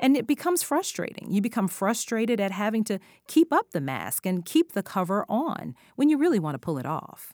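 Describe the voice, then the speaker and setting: A woman with an American accent speaks at a fairly high pitch with very wide swings and some vocal fry. The sound is dry and close with no echo, in a very clean recording with a silent background. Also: fairly quick pace. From Washington DC area. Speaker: co-host. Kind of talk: scripted host segments and discussion.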